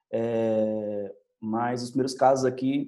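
A man's dark, mellow tone in a monotone, flat intonation. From Brazil, Bahia (Salvador). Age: 30s. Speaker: teacher and doctoral student. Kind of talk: testimony. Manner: halting, many fillers.

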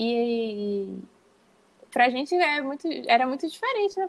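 Dry and close with no echo, a woman's high-pitched voice moves at a fairly slow pace. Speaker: illustrator and university lecturer. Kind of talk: interview.

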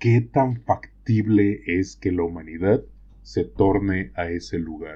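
A man's somewhat breathy voice, fairly low in pitch, at a fairly slow pace with lively intonation. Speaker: podcast co-host. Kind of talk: casual discussion.

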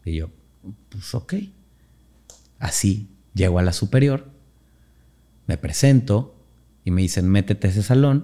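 With long, frequent pauses, a man talks at a fairly slow pace in a fairly low, dark and mellow voice, his intonation lively. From Mexico, Orizaba, Veracruz. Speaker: dance teacher and choreographer. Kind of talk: casual interview.

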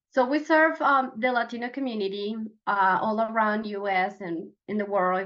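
A woman speaks in a Venezuelan accent at a medium pitch. Her pace is fairly slow. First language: Spanish. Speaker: professional organizer. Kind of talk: casual interview.

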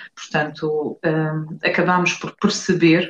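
Somewhat breathy, a woman speaks very slowly with fairly even intonation. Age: 40s. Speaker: nurse. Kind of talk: interview. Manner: halting.

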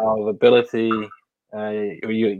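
With a New Zealand accent, a man speaks fairly slowly at a fairly low pitch. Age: 40s. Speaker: livestream host. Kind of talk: casual interview.

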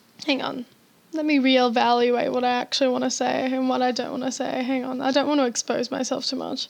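This put-on character voice mumbles at a fairly quick pace. The intonation stays monotone and flat. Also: woman, high pitch for a woman. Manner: mumbling.

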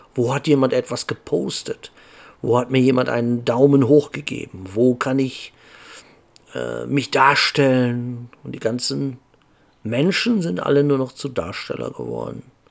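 A man speaks at medium pitch with ordinary pitch variation. His fairly slow pace includes long, frequent pauses. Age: 50s. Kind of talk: casual monologue.

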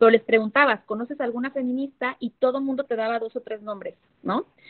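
At a fairly quick pace, a woman talks in a high pitch with fairly even intonation. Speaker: feminist activist and political candidate. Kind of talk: interview conversation.

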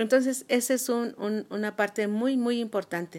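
A woman talks at a moderate pace in an ordinary speaking voice with ordinary pitch variation, on a very clean recording with a silent background. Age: 60s. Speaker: retired business administrator and cosmetologist. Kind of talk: interview.

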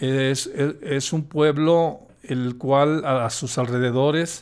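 A man speaks with a Mexican accent. His intonation is fairly even. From Mexico, Jalisco (Lagos de Moreno). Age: 50s. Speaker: accident survivor, host's father. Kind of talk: casual interview. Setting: hotel room. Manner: halting, many fillers.

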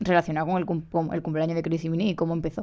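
A woman with fairly even intonation against a quiet background. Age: 20s. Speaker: podcast host and journalism student. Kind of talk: solo podcast monologue. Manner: hesitant, with fillers.

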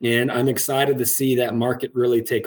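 An unremarkable speaking voice with an American accent moves at a moderate pace. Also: man. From US Midwest, Iowa. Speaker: security company executive. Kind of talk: interview. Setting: video call.

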